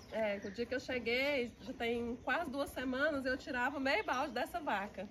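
Over light background noise, a woman with a high pitch speaks at a moderate pace with ordinary pitch variation. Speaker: farmer's daughter milking cows. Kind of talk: interview answer. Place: farm machine. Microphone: camera far.

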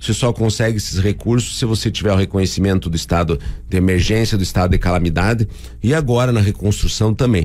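A man with a fairly low voice speaks. He goes at a very fast pace. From Paraná, Brazil (União da Vitória). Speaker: mayor. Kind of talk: radio interview. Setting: radio studio. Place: studio. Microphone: studio mic.

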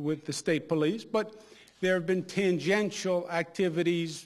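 A man with a high pitch and fairly even intonation, at a moderate pace against a quiet background. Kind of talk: ceremonial speech. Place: hall. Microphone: podium.

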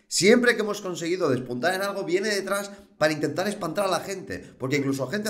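Racing along at a very fast pace, this man's voice swings very widely in pitch. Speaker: political commentator. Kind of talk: commentary. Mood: irritated, mocking. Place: home room. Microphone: webcam.

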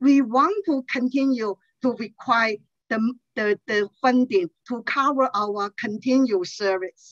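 A woman speaks at a very slow pace in a high voice with ordinary pitch variation, the sound dry with no echo and the background quiet. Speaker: nonprofit outreach director. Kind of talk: public testimony. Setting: video call. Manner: halting, many fillers. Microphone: headset.

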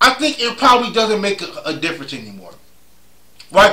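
A man speaks in a raised, projected voice. His intonation is lively. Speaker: sports vlogger. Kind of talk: casual vlog commentary. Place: home room. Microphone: phone near.

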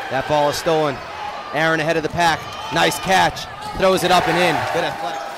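The delivery comes at a fairly quick pace. The sound is dry with no echo, though background noise is noticeable. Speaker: play-by-play announcer. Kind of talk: live basketball play-by-play commentary. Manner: clipped, staccato play-by-play calls. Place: hall.

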